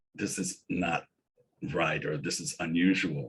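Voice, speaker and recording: A man with an American accent speaks in a somewhat breathy voice. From San Francisco, US West Coast. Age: 60s. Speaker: peer support presenter. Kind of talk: webinar presentation.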